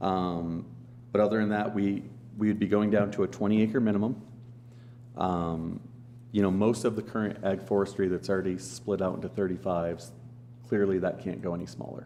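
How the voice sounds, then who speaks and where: A man speaks at a fairly quick pace in a dark, mellow tone, with ordinary pitch variation and long, frequent pauses. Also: fairly low pitch for a man. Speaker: county planning staff member. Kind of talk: public meeting presentation. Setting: county commissioners meeting room. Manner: loud.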